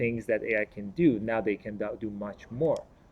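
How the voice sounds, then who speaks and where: At a moderate pace, a man with a non-native accent talks with ordinary pitch variation. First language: not English. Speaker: panelist. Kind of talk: panel discussion. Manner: halting, with repetitions.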